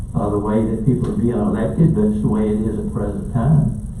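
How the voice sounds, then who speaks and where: Lively intonation in a man's voice, with audible room echo and noticeable background noise. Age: 70s. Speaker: county commission chairman. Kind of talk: public meeting chairing. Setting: meeting room.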